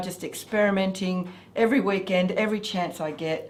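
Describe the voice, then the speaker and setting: A woman with an Australian accent and a medium pitch is heard with audible room echo. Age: 60s. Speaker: motorcycle vlogger, grandmother. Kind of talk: casual interview chat. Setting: home studio.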